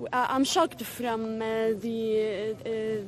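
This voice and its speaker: A woman's intonation stays fairly even while noticeable background noise runs underneath. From Syria. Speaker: refugee and English teacher. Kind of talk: street interview. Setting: outdoors at a border camp. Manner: emphatic, urgent.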